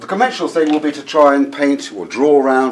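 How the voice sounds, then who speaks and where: Noticeable background noise is present throughout. Over it, a man talks at a moderate speed. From southern England. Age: 50s. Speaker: watercolour painter and teacher. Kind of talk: painting demonstration; interview.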